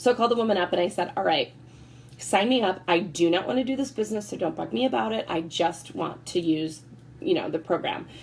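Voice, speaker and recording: At a very fast pace, the speaker uses an animated tone, very wide pitch swings and vocal fry. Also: woman, medium pitch for a woman. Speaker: network marketing consultant. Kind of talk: sales presentation.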